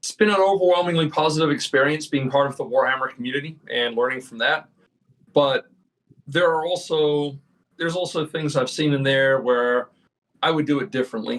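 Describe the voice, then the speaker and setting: A man speaks in an unremarkable speaking voice. His pitch is fairly high, and his pace is fairly quick. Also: ordinary pitch variation. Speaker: game designer. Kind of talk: interview.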